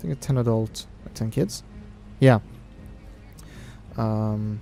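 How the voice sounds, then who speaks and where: A man with a Norwegian accent talks at a moderate pace. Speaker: video game streamer. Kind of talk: casual live-stream commentary. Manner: halting.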